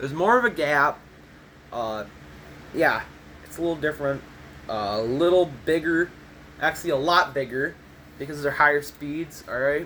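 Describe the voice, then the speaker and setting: At a moderate pace and with ordinary pitch variation, the speaker uses an American accent and leaves long, frequent pauses. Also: man, fairly high pitch for a man. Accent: sounded Minnesotan on one phrase, Midwestern. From US Midwest, Michigan. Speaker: gaming YouTuber. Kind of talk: tutorial. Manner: casual, rambling with fillers.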